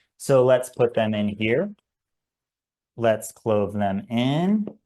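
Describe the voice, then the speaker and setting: The man's medium-pitched voice has a dark, mellow tone and ordinary pitch variation. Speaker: climbing guide and instructor. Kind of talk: webinar tutorial. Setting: video webinar. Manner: fast; casual with fillers.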